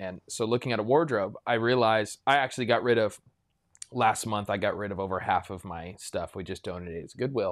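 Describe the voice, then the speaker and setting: A man with a plain, everyday voice speaks at a fairly quick pace in a medium pitch, with ordinary pitch variation and big swings in loudness, in a very clean recording with a silent background. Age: 30s. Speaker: pastor. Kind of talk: casual chat.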